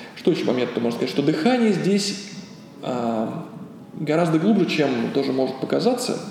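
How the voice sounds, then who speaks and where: Amid noticeable background noise and audible room echo, a man with a fairly high pitch speaks at a moderate pace, with very wide pitch swings and long, frequent pauses. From Russia, Ulyanovsk. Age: 30s. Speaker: yoga teacher. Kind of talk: interview. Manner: halting.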